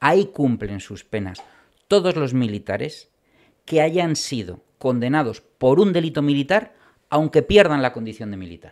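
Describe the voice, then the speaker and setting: A man's fairly high voice with very wide pitch swings and big jumps in loudness, at a fairly slow pace, in a very clean recording over a silent background. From Spain, Bilbao (Basque Country). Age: 40s. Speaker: criminal and military lawyer. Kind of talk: interview.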